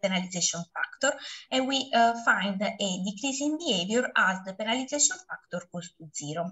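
Against a quiet background, a woman speaks at a moderate pace. Her intonation is lively. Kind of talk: lecture. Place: home room. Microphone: webcam.

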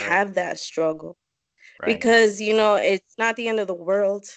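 A woman's voice in a dry sound with no echo against a quiet background. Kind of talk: interview answer. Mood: emotional, voice may crack. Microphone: video call.

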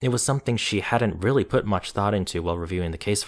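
Reading in an unforced voice

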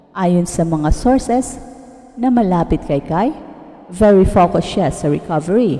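A woman at medium pitch speaks fairly slowly, with lively intonation. Background noise is noticeable. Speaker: sports news narrator. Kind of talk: scripted narration.

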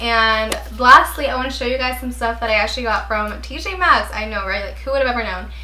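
Noticeable background noise accompanies this recording. A woman talks at a moderate pace over it. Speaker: YouTuber. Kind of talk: casual haul vlog. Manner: animated; rambling.

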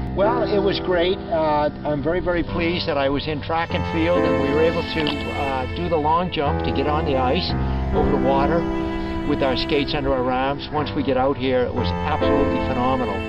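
A man talking at a fairly quick pace, dry with no echo, loud music behind him. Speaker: speed skater, cyclist, race announcer and storyteller. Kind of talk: casual storytelling to camera, personal anecdote. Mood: pleased, reminiscing. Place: open country.

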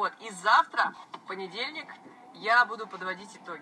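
Light background noise sits behind a woman whose moderate pace comes with ordinary pitch variation. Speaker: blogger. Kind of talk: casual live stream chat answering viewers. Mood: relaxed, friendly. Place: car. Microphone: phone near.

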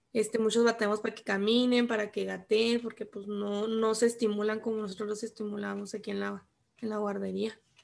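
The voice moves at a fairly quick pace in a flat monotone, with big swings in loudness. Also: woman, fairly high pitch for a woman. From Chihuahua, Mexico. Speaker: student, childcare worker. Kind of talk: class participation. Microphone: video call.

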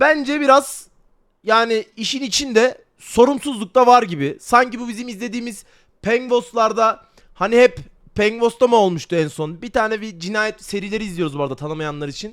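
In an animated tone, a man with a high voice speaks at a moderate pace, his intonation lively and his loudness swinging widely. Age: 20s. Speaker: streamer. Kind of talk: casual livestream talk. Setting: livestream on camera.

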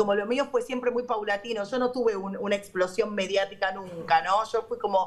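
The speech moves at a fairly quick pace. There are hardly any pauses. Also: woman, fairly even intonation. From Argentina. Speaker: radio host. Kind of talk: casual chat. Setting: remote call from a radio studio. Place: studio. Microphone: video call.

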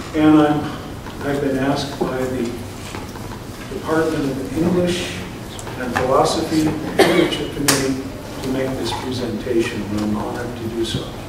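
A man talks at a moderate pace, with audible room echo and noticeable background noise in the recording. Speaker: retired English professor. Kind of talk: event introduction. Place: hall. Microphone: camera far.

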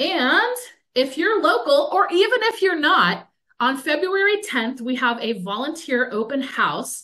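In a raised, projected voice, a woman speaks at a high pitch and fairly slow pace, her tone bright and sharp, with very wide pitch swings over a quiet background. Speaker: museum public programs manager. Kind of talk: webinar hosting. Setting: video call. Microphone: webcam.

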